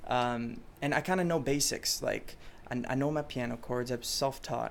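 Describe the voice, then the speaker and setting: A man speaks in a medium pitch with a French accent. His pace is moderate. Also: ordinary pitch variation. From Chicago, raised partly in France. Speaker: pop musician. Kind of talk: interview. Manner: hesitant, many fillers.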